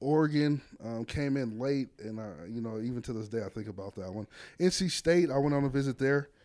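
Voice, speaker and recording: In an American accent, a man speaks fairly quickly at a medium pitch with a dark, mellow tone and ordinary pitch variation. His loudness swings a lot, and the recording is very clean with a silent background. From Las Vegas, Nevada. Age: 30s. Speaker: head football coach. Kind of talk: casual interview. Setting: coach's office.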